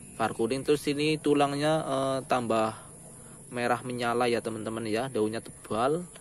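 A man's plain, everyday voice at medium pitch, with fairly even intonation and a moderate pace. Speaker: plant seller. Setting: online video, self-recorded. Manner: chatty, informal, direct address to viewers.

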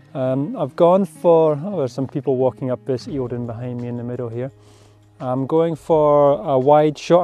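The voice moves at a moderate pace with ordinary pitch variation. The sound is dry with no echo, with faint music in the background. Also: man. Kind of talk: casual vlog chat. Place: open country. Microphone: phone near.

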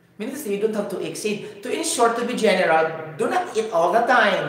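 With a Cebuano Filipino accent, a man talks in an animated tone and lively intonation at a moderate pace, amid audible room echo and light background noise. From Cebu, Philippines. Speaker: YouTube science and health educator. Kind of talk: improvised lecture. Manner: halting, with pauses; animated, code-switching. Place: home room.

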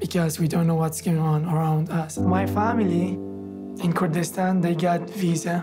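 A man's voice with noticeable background noise. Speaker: genocide survivor, refugee. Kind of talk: documentary testimony. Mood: earnest, hopeful, sometimes smiling. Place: studio.

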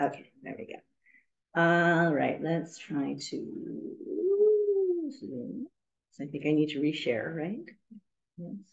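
A woman with an American accent at a very slow pace, with big swings in loudness over a quiet background. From US West Coast, San Francisco; California. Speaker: university professor and documentary filmmaker; university professor. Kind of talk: academic lecture. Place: meeting room. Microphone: video call.

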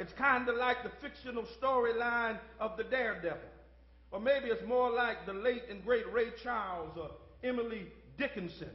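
A man speaks loudly at a moderate pace in an extremely high voice, his tone animated and his pitch varying in an ordinary way. The room echo is audible. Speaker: pastor. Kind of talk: sermon. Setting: church. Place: church. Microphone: podium.

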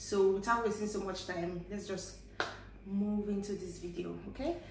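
A woman speaks with a Nigerian accent at a moderate pace, her intonation fairly even. Room echo is audible, and background noise is noticeable. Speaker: vlogger. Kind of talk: casual talk to camera. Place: home room. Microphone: camera far.

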